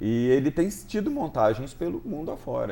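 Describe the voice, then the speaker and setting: A man at a moderate pace, with very wide pitch swings and a dark, mellow tone. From Rio de Janeiro state, Brazil. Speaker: TV director and writer. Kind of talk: talk show interview.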